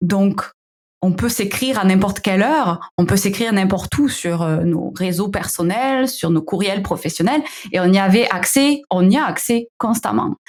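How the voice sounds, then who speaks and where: Speaking with a slight southern French accent, a woman uses lively intonation. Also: medium pitch for a woman, fairly slow pace. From southern France. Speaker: founder of a digital wellbeing company. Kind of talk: podcast interview. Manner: hesitant, many fillers.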